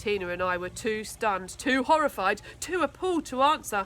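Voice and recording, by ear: A woman's fairly high, fairly bright voice with lively intonation at a moderate pace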